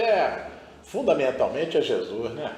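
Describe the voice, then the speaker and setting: A man speaks at a moderate pace with audible room echo and noticeable background noise. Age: 70s. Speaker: spiritual guest. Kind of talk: interview testimony.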